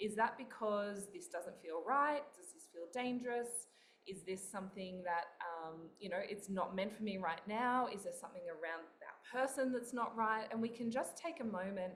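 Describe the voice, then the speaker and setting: A woman with an Australian accent speaks at a moderate pace and medium pitch. Her pitch varies in an ordinary way, and audible room echo is present. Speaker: author and spiritual coach. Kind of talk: interview.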